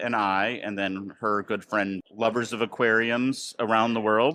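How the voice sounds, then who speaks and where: Against a quiet background, a man uses an ordinary speaking voice at a medium pitch with ordinary pitch variation. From United States. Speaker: marketing podcast host. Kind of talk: casual podcast chat. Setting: train station.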